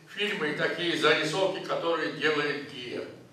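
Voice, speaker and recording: Audible echo from the room fills the recording. A man's voice comes through it. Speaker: film industry figure. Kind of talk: speech at film screening. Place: hall.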